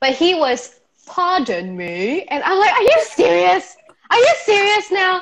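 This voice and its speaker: The pitch swings very widely. The speaker has a Malaysian accent. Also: woman. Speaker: YouTuber. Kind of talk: casual chat.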